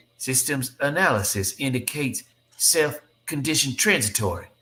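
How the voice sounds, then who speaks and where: A man's robotic, put-on character voice at a medium pitch and moderate pace. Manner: flat, monotone.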